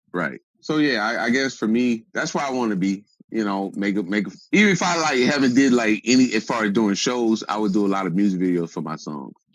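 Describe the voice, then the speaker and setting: Lively in intonation, a man with a plain, everyday voice and medium pitch speaks at a fairly quick pace. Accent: American. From Wisconsin, Racine area. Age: 30s. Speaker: rapper. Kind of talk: interview conversation.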